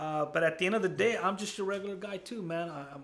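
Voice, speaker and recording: In a raised, projected voice, a man speaks with an animated tone at a fairly quick pace, his high pitch showing ordinary variation. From US, child immigrant from Guatemala. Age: 40s. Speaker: college counselor. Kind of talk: interview. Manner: casual, animated.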